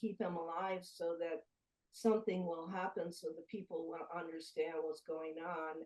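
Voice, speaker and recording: Her dark, mellow tone carries fairly even intonation as the woman speaks. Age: 70s. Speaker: UFO investigative journalist. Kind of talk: interview.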